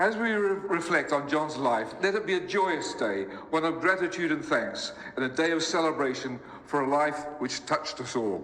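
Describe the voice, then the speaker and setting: Noticeable background noise and audible room echo surround a man speaking at a moderate pace, his fairly high pitch showing ordinary variation. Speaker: eulogist, orchestral musician. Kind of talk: eulogy. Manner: formal.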